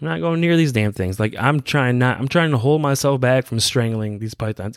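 A man with a normal speaking voice talks at medium pitch with lively intonation, in a very clean recording with a silent background and a dry, close sound with no echo. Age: 30s. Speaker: podcast host. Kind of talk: casual monologue. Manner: casual, laughing often.

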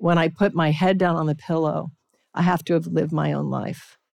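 A woman speaks at a fairly quick pace in a fairly low pitch with vocal fry. The recording is very clean, with a silent background. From Alaska, Anchorage. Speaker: spiritual teacher and chef. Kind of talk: casual chat. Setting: stage with audience.

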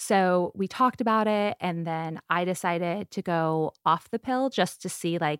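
A woman's fairly low voice with an American accent, ordinary pitch variation and a moderate pace, dry and close with no echo, on a very clean recording with a silent background. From US West Coast, San Diego. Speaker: media entrepreneur. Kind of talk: casual interview.

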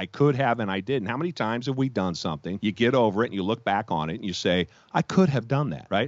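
With vocal fry, a man speaks with very wide pitch swings. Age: 50s. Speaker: entrepreneur. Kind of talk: interview. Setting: podcast.

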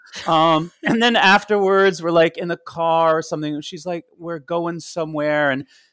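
A high-pitched man's voice with an American accent, in a dry, close sound with no echo. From US Northeast, Long Island, New York. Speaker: Broadway actor and singer. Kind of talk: casual interview chat.

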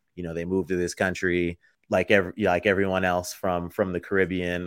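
Speech comes at a fairly quick pace in a very clean recording with a silent background. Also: man. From Florida, born in the Bronx, New York. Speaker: footwear designer and entrepreneur. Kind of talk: interview.

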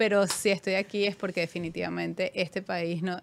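With a Venezuelan accent, a woman speaks in a monotone, flat intonation. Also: very clean recording, silent background. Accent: noticeable Venezuelan. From Venezuela, Caracas. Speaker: finance executive. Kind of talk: interview.

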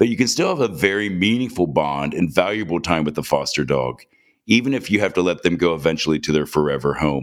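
Very deep and low, a man's voice with vocal fry races at a very fast pace with lively intonation. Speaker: podcast host. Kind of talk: interview chat.

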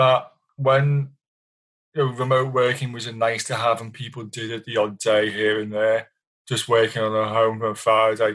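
A man's intonation stays monotone and flat as he talks at a moderate speed. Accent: British. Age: 50s. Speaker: technology journalist. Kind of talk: interview.

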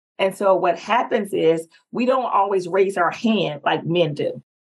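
With a Southern US accent, a woman speaks at a medium pitch and a fairly slow pace, using ordinary pitch variation. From North Carolina, US South. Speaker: executive presence strategist and speaker. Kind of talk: casual interview, personal storytelling.

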